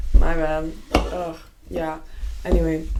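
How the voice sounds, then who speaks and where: A woman's voice carries audible room echo. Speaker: podcast co-host. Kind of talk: casual chat. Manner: loud.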